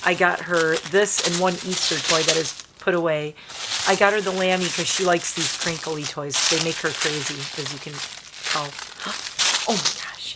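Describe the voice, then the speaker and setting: At a moderate pace with long, frequent pauses, the speech has fairly even intonation over noticeable background noise. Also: woman, fairly low pitch for a woman. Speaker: lifestyle and makeup vlogger. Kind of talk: casual vlog chat.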